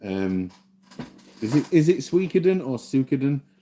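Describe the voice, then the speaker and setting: A man with a Yorkshire accent and a dark, mellow tone. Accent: mild Yorkshire. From South Yorkshire, Doncaster. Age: 40s. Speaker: gaming streamer. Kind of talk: casual live-stream chat. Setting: live stream. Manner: relaxed, unhurried.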